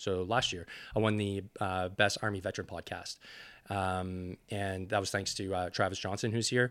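A man's fairly low voice with a bright, sharp tone, at a moderate pace, on a very clean recording with a silent background. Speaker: army veteran and fitness coach. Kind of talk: casual interview. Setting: in-person recording at a conference. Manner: animated.

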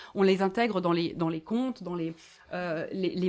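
With an unremarkable speaking voice, a woman talks at a fairly slow pace in a medium pitch and ordinary pitch variation. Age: 40s. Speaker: author and activist. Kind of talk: live bookshop talk.

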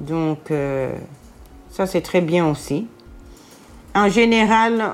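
A woman speaks in a fairly low voice on a very clean recording with a silent background. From Brussels, Belgium (Jette). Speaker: hospital porter, former care assistant. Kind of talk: testimony.

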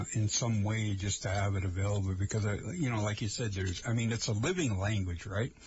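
A man's fairly low voice with an American accent, fairly quick, with ordinary pitch variation and very even loudness, over noticeable background noise. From Lake Vermilion area, northern Minnesota. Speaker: radio host. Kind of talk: casual chat. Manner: halting, many fillers.

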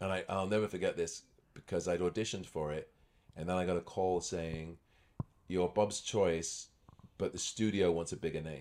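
A man's very deep, low voice in a southern English accent, flat and monotone, at a moderate pace with long, frequent pauses. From England, near London (born in Scotland). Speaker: magician and actor. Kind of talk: casual chat.

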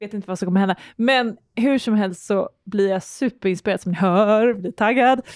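The recording is dry and close, with no echo. A woman at medium pitch, with ordinary pitch variation, speaks with hardly any pauses. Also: moderate pace. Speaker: podcast host. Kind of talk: casual chat. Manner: animated.

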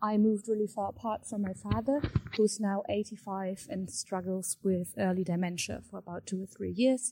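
A woman with a somewhat breathy, dark, mellow tone speaks at a medium pitch and moderate pace, with ordinary pitch variation. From Germany. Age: 20s. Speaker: listener with a question. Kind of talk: recorded voice message. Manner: halting.

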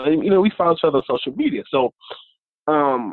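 A man's fairly high voice, fairly quick and full of lively intonation, in a dry, close sound with no echo.

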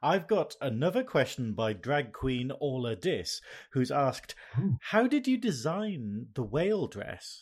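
A man speaks at a fairly slow pace in a fairly high, somewhat breathy voice. His pitch swings very widely, on a very clean recording with a silent background. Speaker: drag queen podcast host. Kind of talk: casual chat. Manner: animated.

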